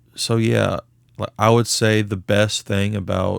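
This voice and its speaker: On a very clean recording with a silent background, a man with an American accent speaks fairly slowly at a fairly low pitch, the sound dry and close with no echo. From Texas. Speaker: podcast co-host. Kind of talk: casual chat. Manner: halting, many fillers.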